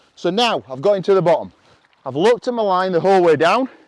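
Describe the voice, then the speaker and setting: A man with a Yorkshire accent talks very fast at a high pitch with lively intonation, in a dry, close sound with no echo. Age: old. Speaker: motorcycle trials coach. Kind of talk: riding tutorial.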